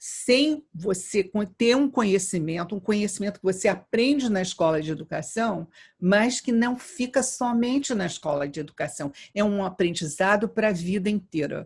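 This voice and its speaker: A woman talks at a moderate pace and medium pitch with lively intonation, somewhat breathy. The recording is very clean, with a silent background. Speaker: education professor. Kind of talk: interview. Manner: halting, with repetitions.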